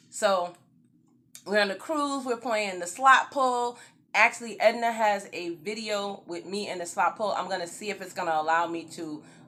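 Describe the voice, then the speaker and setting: With a slight New York accent, a woman speaks at medium pitch and a moderate pace in an animated tone, with ordinary pitch variation and big swings in loudness. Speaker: YouTube vlogger. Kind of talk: storytime vlog. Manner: casual.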